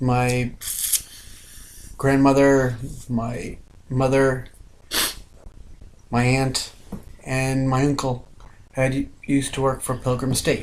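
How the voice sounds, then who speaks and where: Through audible room echo, a man with an American accent speaks at a very slow pace with a medium pitch, monotone, flat intonation and long, frequent pauses. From Long Island, New York. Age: 30s. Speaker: online video host. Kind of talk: casual chat.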